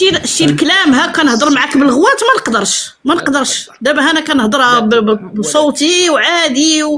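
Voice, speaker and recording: A woman's high-pitched voice with a Moroccan accent, at a moderate pace with lively intonation, very even loudness and hardly any pauses, over noticeable background noise. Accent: Moroccan Darija. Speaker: caller sharing a health testimony. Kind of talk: testimony. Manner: animated.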